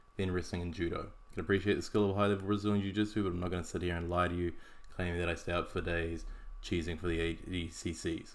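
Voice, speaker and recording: A man's voice, pitched very deep and low, rushes along at a very fast pace. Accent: New Zealand. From New Zealand. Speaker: podcast host, martial arts analyst. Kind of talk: scripted podcast analysis. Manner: casual, wry.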